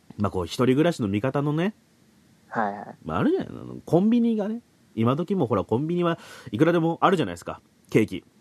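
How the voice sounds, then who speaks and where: A man with a fairly high pitch talks at a fairly quick pace, breaking it with long, frequent pauses. His pitch swings very widely, and the sound is dry and close with no echo. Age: 30s. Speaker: podcast host. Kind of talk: casual chat. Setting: Skype call. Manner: animated.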